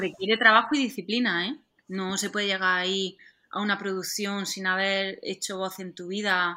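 A woman speaks at medium pitch and a moderate pace, her intonation fairly even and her tone bright and sharp. Her loudness swings widely on a very clean recording with a silent background. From southeastern Spain. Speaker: actress and stunt double. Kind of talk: interview.

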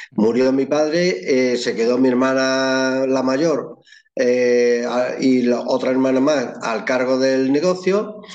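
A man's medium-pitched voice at a very slow pace, with ordinary pitch variation, very even loudness, noticeable background noise and audible room echo. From Extremadura, Spain (Llerena, Badajoz). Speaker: photographer. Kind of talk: interview.

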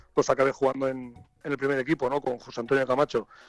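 A man with a fairly high pitch talks at a very fast pace. Music plays in the background, and the sound is dry and close with no echo. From Catalonia. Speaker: football coach. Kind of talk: interview. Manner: halting.

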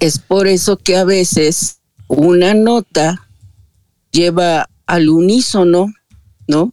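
A dark, mellow tone with a dry, close sound and no echo, very slow pace, long, frequent pauses and ordinary pitch variation. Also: woman, fairly low pitch for a woman. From Mexico City. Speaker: audience participant in live audio room. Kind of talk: casual chat. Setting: live online audio room. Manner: formal.

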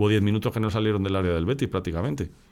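The recording of a man speaking is very clean, with a silent background. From Spain, Madrid area. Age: 50s. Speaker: podcast host. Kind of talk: casual chat.

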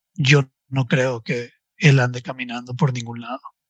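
A man at a fairly slow pace in a dry, close sound with no echo. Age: 40s. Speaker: life coach. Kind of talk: podcast interview.

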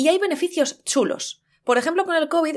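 A woman at a fairly quick pace, animated in tone. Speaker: podcast co-host. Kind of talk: casual chat.

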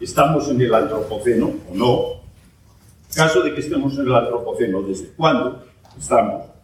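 A man keeps a moderate pace, his voice ringing with audible echo from the room. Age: 70s. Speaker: geology professor. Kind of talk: lecture.

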